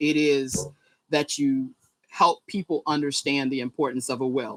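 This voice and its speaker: A woman's very deep, low voice with a Southern US accent, fairly even intonation and a moderate pace, in a dry, close sound with no echo. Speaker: nonprofit executive director. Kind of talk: interview.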